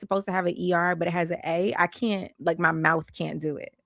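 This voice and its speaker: A woman speaks at a fairly quick pace in an ordinary speaking voice. The sound is dry and close with no echo, very clean, over a silent background. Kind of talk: standard, plain speech.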